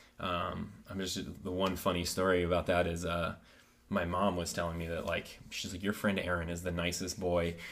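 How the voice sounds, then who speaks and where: A man with a Midwestern American accent and very deep, low pitch, monotone and flat at a moderate pace, with audible room echo. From rural north-central Ohio. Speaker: chiropractor. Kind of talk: casual interview chat. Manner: hesitant, many fillers.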